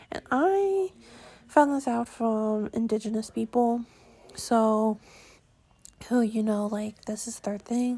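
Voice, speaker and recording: At a very slow pace with long, frequent pauses, a woman speaks in a dark, mellow tone at a fairly high pitch. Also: ordinary pitch variation. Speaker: tattoo vlogger. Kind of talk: casual vlog monologue. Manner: hesitant, lots of um and yeah.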